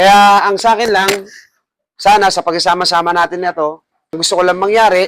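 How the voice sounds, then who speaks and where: Loud and fairly quick, a man's high-pitched voice keeps a fairly even intonation. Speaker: barbershop owner and barber mentor. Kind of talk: farewell speech to staff. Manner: loud voice.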